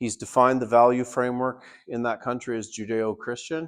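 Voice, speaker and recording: An ordinary speaking voice from a man with a Canadian accent, medium in pitch and moderate in pace, over a quiet background. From Canada. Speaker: party leader and political candidate. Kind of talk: town hall speech. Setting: town hall meeting with audience.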